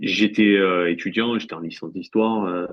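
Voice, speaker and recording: At a moderate pace, the speaker talks in a strong Marseille accent. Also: man. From France, Marseille. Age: 40s. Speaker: sports journalist. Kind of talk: interview. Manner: halting, many fillers and repeats.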